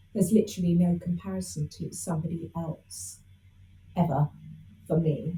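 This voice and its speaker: A woman speaks at a moderate pace. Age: 60s. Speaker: spiritual teacher. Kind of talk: interview. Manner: hesitant with fillers.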